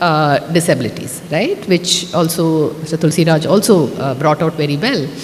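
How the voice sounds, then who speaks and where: A woman's moderately paced speech, noticeable background noise behind it. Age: 50s. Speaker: author. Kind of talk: speech at a book launch. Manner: conversational, many fillers.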